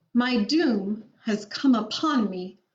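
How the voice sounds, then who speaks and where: Putting on a growling character voice, a woman speaks at a fairly high pitch. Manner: horribly calm, eerily composed.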